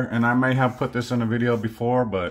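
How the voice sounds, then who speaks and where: Fairly quick speech from a man, the background quiet. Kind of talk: casual vlog chat. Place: home room. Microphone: phone near.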